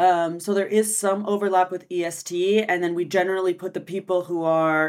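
The pace is fairly quick. It is a woman talking. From United States. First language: French. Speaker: marketing agency founder and SEO expert. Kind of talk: casual interview chat. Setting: video call from Barcelona.

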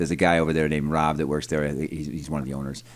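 A man speaks with an American accent. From Rochester, New York, US. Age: 40s. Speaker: radio guest, conspiracy theorist. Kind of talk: casual interview chat. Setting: radio studio.

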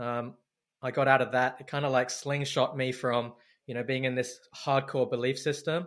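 A man talks at a medium pitch and a moderate pace. His intonation is flat and monotone, on a very clean recording with a silent background. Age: 40s. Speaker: men's work facilitator and mentor. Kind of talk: interview conversation. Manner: halting, many repetitions.

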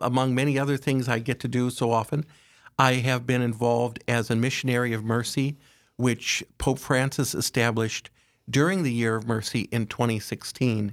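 In a very clean recording with a silent background, a man talks in an unremarkable speaking voice at medium pitch and a moderate pace, with fairly even intonation and very even loudness. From South Dakota, US Midwest. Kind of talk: religious radio interview. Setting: studio.

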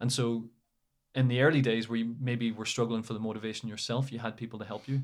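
In a very clean recording with a silent background, a man of medium pitch speaks with an Irish accent in a flat, monotone way. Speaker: academic and former footballer. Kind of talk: casual interview.

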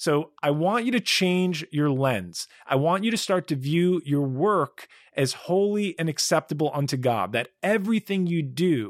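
An ordinary speaking voice, this man's fairly high pitch and lively intonation come at a moderate pace on a very clean recording with a silent background and a dry, close sound with no echo. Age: 40s. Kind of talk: solo religious teaching podcast.

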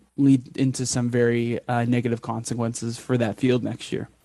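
With a Canadian accent, a man speaks in a monotone at medium pitch, his dark, mellow tone captured dry and close with no echo against a quiet background. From Alberta, Canada. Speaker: entomology graduate researcher. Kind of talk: interview.

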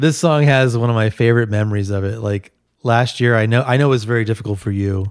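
Speaking at a very fast pace with an American accent, a man holds a medium pitch and fairly even intonation on a very clean recording with a silent background. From New Jersey (Bergenfield), later San Francisco. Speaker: podcast guest. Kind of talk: casual chat.

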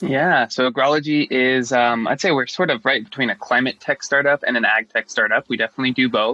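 A man speaks very fast with a bright, sharp tone, hardly any pauses, and a dry, close sound with no echo. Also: medium pitch for a man, ordinary pitch variation, very even loudness. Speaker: agtech company co-founder. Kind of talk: interview. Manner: enthusiastic.

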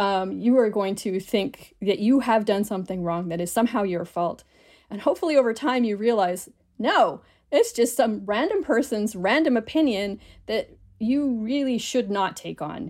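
A woman with a normal speaking voice talks at a moderate pace, pitched fairly high and with lively intonation. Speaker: linguist and podcast host. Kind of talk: casual chat.

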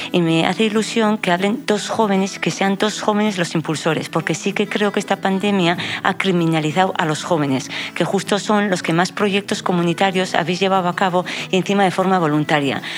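Over music in the background, a woman speaks at a fairly quick pace with very even loudness and fairly even intonation. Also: medium pitch for a woman. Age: old. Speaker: family doctor. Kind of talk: radio panel discussion.

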